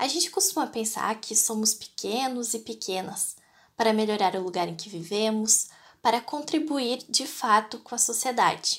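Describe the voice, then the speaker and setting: Using a plain, everyday voice, a woman with a fairly high pitch talks at a moderate pace with ordinary pitch variation. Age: 20s. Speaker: voter. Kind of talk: prepared statement.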